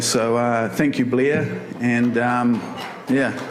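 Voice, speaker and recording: Over music in the background, a man with a New Zealand accent speaks at a fairly slow pace, with audible room echo. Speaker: photographer, award winner. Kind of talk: acceptance speech. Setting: stage with audience. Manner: halting, many fillers.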